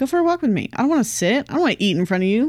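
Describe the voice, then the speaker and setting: With very wide pitch swings, a woman speaks in an American accent at a high pitch, on a very clean recording with a silent background. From Southern California. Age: 20s. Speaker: podcast co-host. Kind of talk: casual chat.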